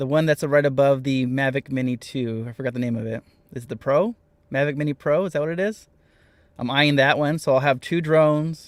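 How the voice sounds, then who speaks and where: A man speaks in a normal speaking voice at a fairly quick pace and a fairly high pitch, with ordinary pitch variation. The recording is very clean with a silent background and a dry, close sound with no echo. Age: 40s. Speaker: vanlife YouTuber. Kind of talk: live stream chat.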